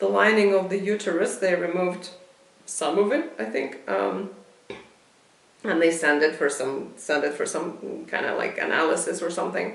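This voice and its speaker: A woman with a non-native accent speaks at a moderate pace, with audible room echo and noticeable background noise. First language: not English. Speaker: video blogger. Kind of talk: casual monologue. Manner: halting.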